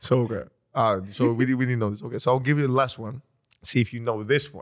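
Speaking very fast with an animated tone, a man with a Greek accent and medium pitch pauses long and often, his loudness swinging widely. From Greece. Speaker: podcast host. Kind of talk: casual chat. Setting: studio.

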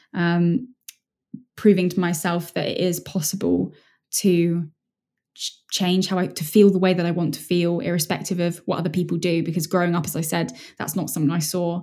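A woman with a dark, mellow tone and monotone, flat intonation on a very clean recording with a silent background. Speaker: mindset strategist and speaker. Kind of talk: interview. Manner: fast.

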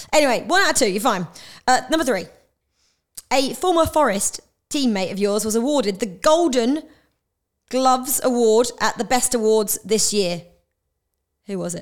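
A woman's high-pitched voice with lively intonation and long, frequent pauses, on a very clean recording with a silent background. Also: moderate pace. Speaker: podcast host. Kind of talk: interview.

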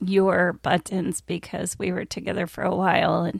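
A woman speaks at a moderate pace with fairly even intonation. Her voice has vocal fry. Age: 50s. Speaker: podcast co-host. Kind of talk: casual chat.

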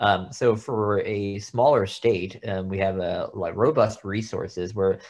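The speaker is a man with fairly low pitch. His intonation stays fairly even. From Texas. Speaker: pediatric oncologist. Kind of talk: interview. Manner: halting, many fillers.

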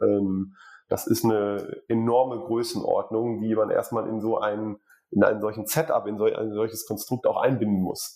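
A man talks at a moderate pace. Behind him the background is silent, and the recording is very clean. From Ruhr area, Germany. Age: 40s. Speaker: building materials executive. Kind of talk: interview.

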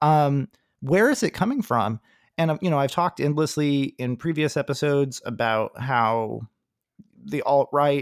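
In a very clean recording with a silent background, a man speaks at a moderate pace in an unremarkable speaking voice of medium pitch. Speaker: podcast host. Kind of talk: casual political discussion.

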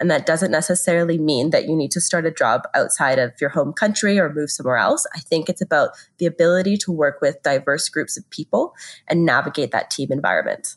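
A woman with a Canadian accent speaks in an ordinary speaking voice, fairly low in pitch, with ordinary pitch variation. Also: fairly quick pace, quiet background. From Canada. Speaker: business school careers director. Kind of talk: podcast interview.

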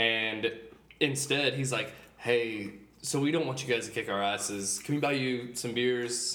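Over noticeable background noise, a man with an American accent speaks at medium pitch and a fairly slow pace, his intonation fairly even. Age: 30s. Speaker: guest on a casual podcast. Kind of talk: casual banter chat. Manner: joking, casual.

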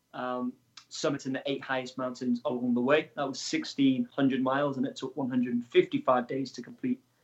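A man with a Welsh accent and monotone, flat intonation. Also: medium pitch for a man, moderate pace. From Wales. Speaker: adventurer and extreme athlete. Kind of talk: interview.

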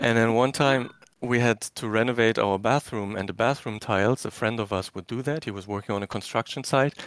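A man with a German accent talks at a medium pitch and a fairly quick pace. The sound is dry and close with no echo, on a very clean recording with a silent background. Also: fairly even intonation. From Germany, former East Germany. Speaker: caller. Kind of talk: casual chat.

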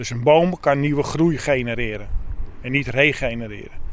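This is a man speaking. His pitch is fairly high. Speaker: arborist adviser. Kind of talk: on-site explanation.

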